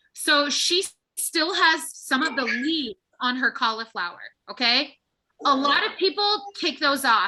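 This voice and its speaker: Projecting a raised voice, a woman speaks high and bright with a sharp tone and very wide pitch swings. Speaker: cooking workshop instructor. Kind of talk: live cooking tutorial.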